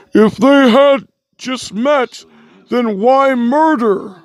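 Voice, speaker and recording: In a put-on character voice, the speaker talks very slowly at a fairly high pitch. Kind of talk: fan dub of game text. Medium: solo performance. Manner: befuddled, questioning.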